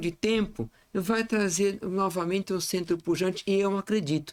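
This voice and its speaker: Talking at a fairly slow pace, a man has a high pitch and ordinary pitch variation. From Brazil, Santos (São Paulo coast). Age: 60s. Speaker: lawyer. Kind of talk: podcast interview.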